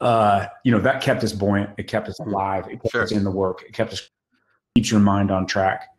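Against a quiet background, a man with an American accent and a plain, everyday voice talks at a moderate pace, with fairly low pitch and fairly even intonation. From Northern California. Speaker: actor. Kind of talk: casual interview. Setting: video call. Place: home room. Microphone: webcam.

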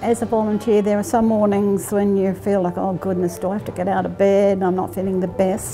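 A woman with an Australian accent talks fairly quickly with hardly any pauses, at medium pitch and with fairly even intonation, while music plays clearly in the background. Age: 80s+. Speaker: hospital volunteer. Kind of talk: interview answer. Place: hall.

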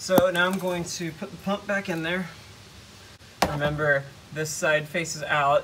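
The speaker goes at a moderate pace with ordinary pitch variation, against noticeable background noise. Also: man. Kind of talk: tutorial. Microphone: phone near.

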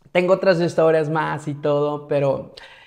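A man speaks with a Mexican accent and an animated tone. His pitch varies in an ordinary way against a quiet background. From Mexico, Morelia, Michoacán; Michoacán, Mexico. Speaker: travel vlogger. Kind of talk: casual storytelling monologue. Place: home room.

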